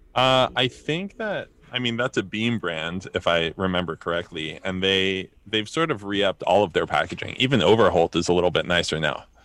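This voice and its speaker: With an American accent, a man talks in a normal speaking voice at a fairly quick pace and a fairly low pitch. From New Jersey. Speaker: drinks company founder. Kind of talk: casual chat.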